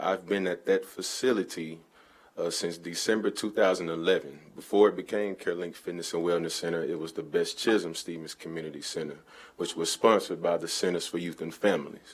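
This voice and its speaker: A man speaks with a Southern US accent. His pace is fairly quick. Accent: US South. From Little Rock, Arkansas. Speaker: fitness instructor. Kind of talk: public comment at city council meeting. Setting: city council chamber. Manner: unscripted, informal.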